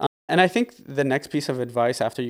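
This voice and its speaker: Recorded dry and close with no echo, a man at medium pitch talks at a very fast pace. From Canada, Windsor, Ontario. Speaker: restaurant owner. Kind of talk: interview. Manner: frequent filler words.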